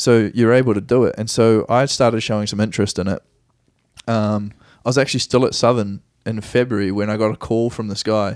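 Talking at a fairly quick pace, a man with a New Zealand accent keeps a monotone, flat intonation. The recording is very clean, with a silent background. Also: medium pitch for a man. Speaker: professional soccer player. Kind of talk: casual interview. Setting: home studio.

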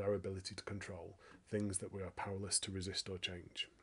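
A man talks at a fairly quick pace in a fairly low, somewhat breathy voice. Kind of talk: casual chat. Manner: mumbling.

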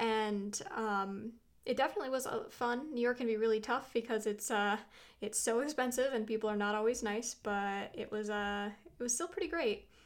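A woman uses an unremarkable speaking voice with ordinary pitch variation. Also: fairly high pitch for a woman, moderate pace. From US Pacific Northwest, suburb of Portland. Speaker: writer and podcast host. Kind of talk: casual interview.

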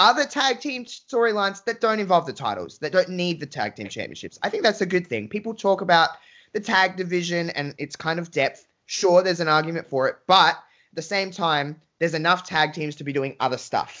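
An enthusiastic, high-pitched man's voice with an Australian accent, lively intonation, and a fairly quick pace. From Australia, Adelaide. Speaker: wrestling fan guest. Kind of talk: casual chat.

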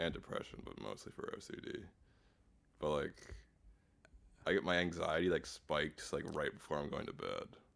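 At a moderate pace, a man with an American accent talks with long, frequent pauses. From Pennsylvania, US Northeast. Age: 20s. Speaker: comedian and podcast host. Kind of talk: casual chat.

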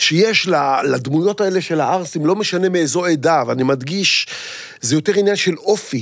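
An unremarkable male speaking voice with lively intonation at a moderate pace. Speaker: actor and comedian. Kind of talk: casual chat.

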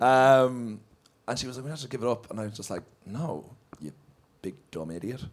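A man with an Irish accent talks at a fairly quick pace and a medium pitch. His intonation is lively, broken by long, frequent pauses. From Ireland. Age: 30s. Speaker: comedian. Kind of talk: live podcast recording, casual chat. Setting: stage with audience.

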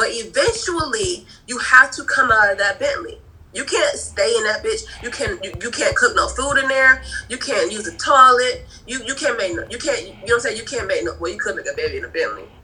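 Amid noticeable background noise, a woman speaks at a fairly quick pace with big swings in loudness. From Providence, Rhode Island. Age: 20s. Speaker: graduate student. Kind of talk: casual chat.

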